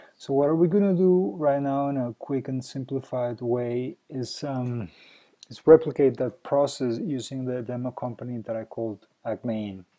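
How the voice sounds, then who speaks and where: This man speaks with a non-native accent at a medium pitch. His pace is moderate and his pitch varies in an ordinary way. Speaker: software company founder. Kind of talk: software tutorial. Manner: hesitant, many fillers.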